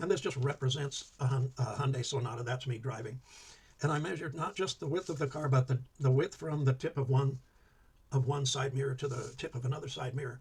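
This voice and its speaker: Quiet and somewhat breathy, a man with an American accent mumbles at a very fast pace with ordinary pitch variation. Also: medium pitch for a man. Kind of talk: instructional talk. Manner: quiet, mumbling; hesitant, many fillers.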